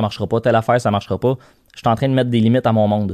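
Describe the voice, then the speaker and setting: With a Quebec accent, a man talks very fast at a medium pitch in a monotone, flat delivery, the sound dry and close with no echo over a quiet background. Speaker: company CEO. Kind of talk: interview. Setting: studio.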